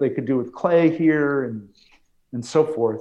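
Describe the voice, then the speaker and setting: An unremarkable speaking voice from a man with an American accent, ordinary pitch variation and a fairly slow pace. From New York. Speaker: basketball analyst co-host. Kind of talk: casual sports talk.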